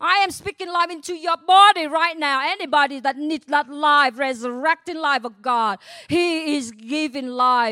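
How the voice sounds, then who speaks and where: Speaking fairly slowly in a raised, projected voice, a woman with a Vietnamese accent has a high pitch, a bright, sharp tone and lively intonation. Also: dry, close sound with no echo. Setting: church.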